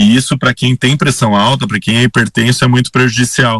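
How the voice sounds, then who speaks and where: The man's medium-pitched voice has a bright, sharp tone and a dry, close sound with no echo. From Rio Grande do Sul, Brazil (Sinimbu, near Santa Cruz). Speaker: cardiologist. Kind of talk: radio interview.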